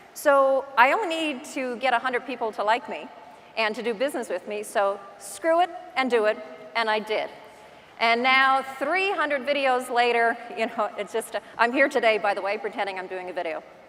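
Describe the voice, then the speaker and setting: An animated tone comes through in a Newfoundland accent. There is noticeable background noise. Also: woman, high pitch for a woman, moderate pace. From Newfoundland, Canada. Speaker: real estate agent. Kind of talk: conference talk. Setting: stage with audience.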